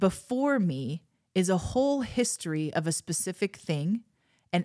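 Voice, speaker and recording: A woman's animated tone at fairly low pitch, with lively intonation, moderate pace, and a dry, close sound with no echo. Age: 40s. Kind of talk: casual teaching monologue.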